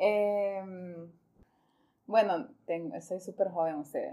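At a very slow pace, a woman speaks with a dark, mellow tone, medium pitch and fairly even intonation. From Honduras, Choluteca. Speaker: foundation coordinator. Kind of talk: casual interview.

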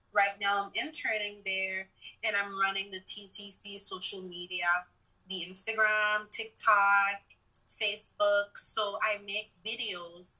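In a bright, sharp tone, a woman speaks at a very slow pace with monotone, flat intonation. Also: medium pitch for a woman. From Sint Maarten, Caribbean. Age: 20s. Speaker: college student, journalism. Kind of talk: casual interview.

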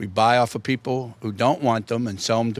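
This is a man's voice. He speaks with a Pittsburgh accent. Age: old. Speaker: record store owner. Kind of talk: interview.

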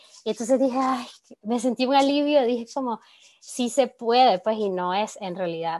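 A woman has an unremarkable speaking voice and talks at a fairly slow pace. The sound is dry and close with no echo, over a quiet background. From Nicaragua. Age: 20s. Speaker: communicator and feminist activist. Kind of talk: podcast interview.

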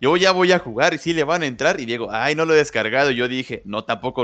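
With a Mexican accent, a man talks at a very fast pace in a fairly high voice. The background is quiet. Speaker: podcast co-host. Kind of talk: casual chat.

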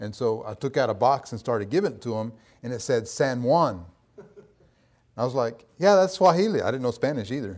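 A man with an unremarkable speaking voice talks at a fairly quick pace and medium pitch. His intonation is lively, with big swings in loudness. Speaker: missionary. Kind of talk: sermon.

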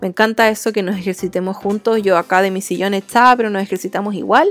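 A woman's medium-pitched voice at a fairly quick pace with fairly even intonation, dry and close with no echo. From Chile. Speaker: podcast host and interpreter. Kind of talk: casual monologue.

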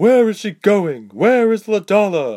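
A put-on character voice at a fairly high pitch and fairly slow pace comes through on a very clean recording with a silent background. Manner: through gritted teeth, demanding.

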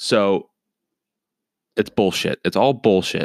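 In a very clean recording with a silent background and a dry, close sound with no echo, a man speaks very slowly at a fairly low pitch. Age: 20s. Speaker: YouTube commentator. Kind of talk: casual commentary.

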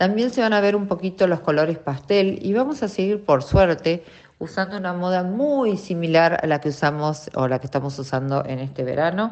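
A woman with a Rioplatense accent speaks in a fairly low pitch with lively intonation. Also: moderate pace. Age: 50s. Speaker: radio host. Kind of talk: casual chat.

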